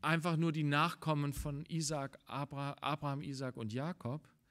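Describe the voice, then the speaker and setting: Very slowly, a man talks over a quiet background. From Germany. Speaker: preacher. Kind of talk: sermon. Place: church.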